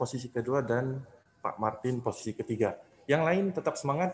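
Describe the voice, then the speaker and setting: An unremarkable speaking voice from a man, medium in pitch, with lively intonation at a moderate pace over light background noise. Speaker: event emcee. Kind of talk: event hosting. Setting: video call. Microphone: webcam.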